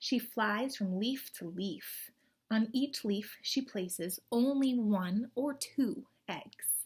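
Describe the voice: At a slow pace, a woman speaks at medium pitch with ordinary pitch variation and a slightly husky edge.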